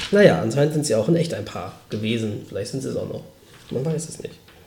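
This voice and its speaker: Room echo can be heard around the voice. The man's speech runs very fast. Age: 30s. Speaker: podcast host. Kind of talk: casual chat. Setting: home recording in high-ceilinged old flat. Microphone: poor mic, room echo.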